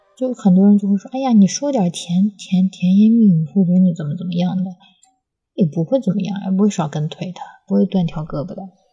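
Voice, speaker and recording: Quiet and somewhat breathy, a woman speaks at a fairly quick pace with a dark, mellow tone and a medium pitch. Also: ordinary pitch variation. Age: middle-aged. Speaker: podcast host. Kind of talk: casual chat. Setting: home recording studio with baby present. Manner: hushed, speaking quietly.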